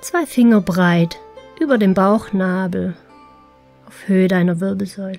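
Over music in the background, a woman speaks in a calm tone at medium pitch and a fairly slow pace, with ordinary pitch variation and long, frequent pauses. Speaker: meditation guide. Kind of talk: guided relaxation meditation. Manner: slow, calm.

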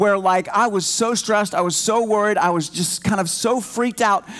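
Speaking at a moderate pace, a man with a high-pitched voice shows ordinary pitch variation. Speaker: church team member preaching. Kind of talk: sermon. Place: church. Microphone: headset.

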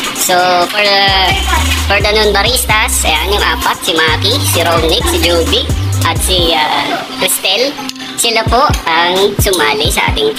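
Clear music plays in the background. A man speaks over it at a fairly slow pace. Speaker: barista vlogger. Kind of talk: casual vlog chat. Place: cafe. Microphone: phone near.

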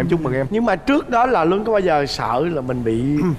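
Someone talks at a very fast pace with lively intonation over light background noise. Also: man. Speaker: game show contestant; talk show guest. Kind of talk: TV talk show interview. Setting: TV studio with audience. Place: studio. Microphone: lapel.

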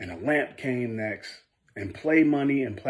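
Against a quiet background, the reading aloud is plain, with ordinary pitch variation.

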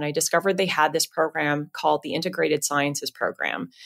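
A woman's normal speaking voice at a moderate pace, with ordinary pitch variation, on a very clean recording with a silent background. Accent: American. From Southern California. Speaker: payments executive at a bank. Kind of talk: interview.

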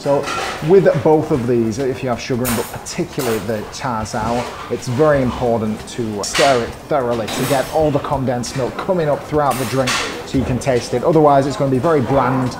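A man at a fairly quick pace with ordinary pitch variation over noticeable background noise. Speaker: food vlog host. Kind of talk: casual vlog chat. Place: cafe. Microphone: lapel.

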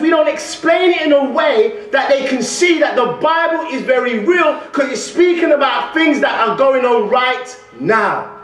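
A man with an extremely high pitch talks at a moderate pace with ordinary pitch variation, light background noise and audible room echo around him. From London. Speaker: guest preacher. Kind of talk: sermon. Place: church. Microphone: podium.

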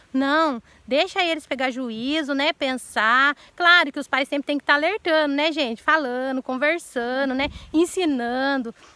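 A woman speaks in a raised, projected voice at a fairly slow pace. Her tone is bright and sharp, her pitch high, and the sound dry with no echo. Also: ordinary pitch variation. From Brazil. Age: 40s. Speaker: YouTuber. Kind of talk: casual Q&A vlog; casual vlog chat. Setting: outdoors. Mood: earnest, emotional, sometimes indignant. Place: garden. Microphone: phone near.

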